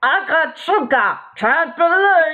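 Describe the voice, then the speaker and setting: The speaker adopts a put-on character voice pitched extremely high. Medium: read story. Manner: broken speech mixed with alien gibberish.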